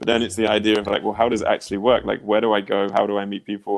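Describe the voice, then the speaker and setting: A man with a fairly low pitch talks with a southern English accent. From England, near Oxford. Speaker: dating coach. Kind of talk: casual chat.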